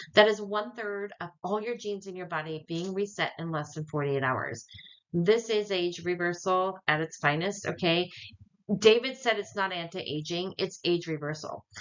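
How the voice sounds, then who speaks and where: A woman speaks at a medium pitch and a moderate pace. Her pitch varies in an ordinary way, while her loudness swings widely. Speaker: wellness product distributor. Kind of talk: sales pitch. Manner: animated.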